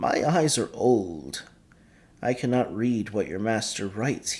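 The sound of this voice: A man puts on a shaky character voice at a medium pitch. He goes at a fairly slow pace with lively intonation.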